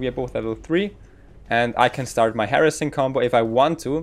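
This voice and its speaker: With music in the background, a man in a German accent speaks at a moderate pace, medium pitch and ordinary pitch variation. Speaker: gaming guide creator. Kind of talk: gameplay commentary tutorial.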